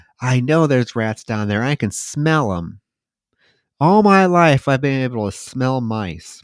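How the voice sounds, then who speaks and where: A man performs a creaky put-on character voice at medium pitch with very wide pitch swings and a moderate pace, on a very clean recording with a silent background. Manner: eerie, unsettling.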